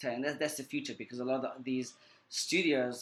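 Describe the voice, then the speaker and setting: At a very fast pace, a man with a South African accent speaks in a monotone, flat intonation. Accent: South African accent, clearly audible. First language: Portuguese Creole. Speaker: screenwriter and film editor. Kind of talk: interview. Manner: halting, repeats words.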